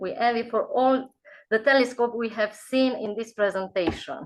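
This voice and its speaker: A voice with a non-native accent and ordinary pitch variation. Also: woman. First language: not English. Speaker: geography teacher. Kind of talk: online video call discussion.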